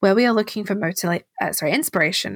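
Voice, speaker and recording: Over a very clean recording with a silent background, a woman speaks at a medium pitch with ordinary pitch variation and some vocal fry. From England. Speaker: podcast host. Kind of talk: solo podcast monologue.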